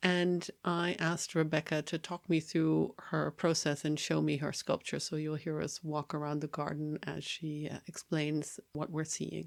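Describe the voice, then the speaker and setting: A woman speaks in a very deep, low pitch with monotone, flat intonation. Her pace is fairly slow with hardly any pauses, on a very clean recording with a silent background. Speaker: podcast host, journalist. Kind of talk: conversational podcast discussion; on-location field recording. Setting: outdoors in embassy garden. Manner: quiet, furtive in field recording.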